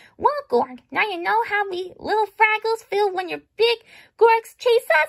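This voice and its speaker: Put on as a character voice, this squeaky delivery has lively intonation and a dry, close sound with no echo. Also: woman, extremely high pitch for a woman, moderate pace. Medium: read story.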